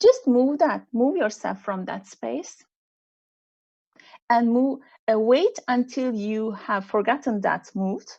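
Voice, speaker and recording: A high-pitched woman with a Turkish accent, lively intonation and a fairly slow pace, over a quiet background. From Turkey. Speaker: executive coach. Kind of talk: online panel interview.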